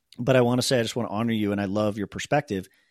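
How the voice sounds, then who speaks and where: This is a normal speaking voice with ordinary pitch variation. The recording is very clean, with a silent background and a dry, close sound with no echo. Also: man. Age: 40s. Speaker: podcast host, CEO. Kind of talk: casual chat.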